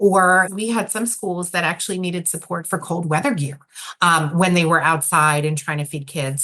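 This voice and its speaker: Speaking at a moderate pace, a woman with a New York accent has a fairly low pitch. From New York City. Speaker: nonprofit director. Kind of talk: interview.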